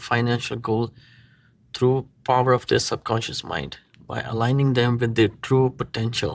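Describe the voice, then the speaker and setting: A man's medium-pitched voice with a non-native accent and monotone, flat intonation, at a moderate pace on a very clean recording with a silent background. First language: not English. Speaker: marketing agency owner. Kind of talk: tutorial; sales pitch. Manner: casual, halting.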